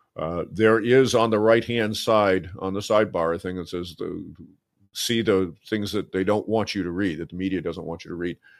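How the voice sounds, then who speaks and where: A man with a normal speaking voice talks at a moderate pace and a fairly low pitch. His intonation is fairly even, and the recording is very clean with a silent background. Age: 60s. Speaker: finance blogger. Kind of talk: interview. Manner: frequent fillers and repetitions.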